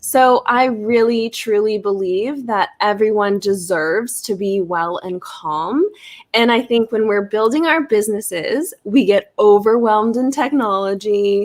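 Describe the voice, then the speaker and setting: An ordinary speaking voice with an American accent, fairly slow pace, hardly any pauses and ordinary pitch variation. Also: woman, fairly high pitch for a woman. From Florida, US. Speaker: wellness business owner. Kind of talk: live stream interview. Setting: live video stream.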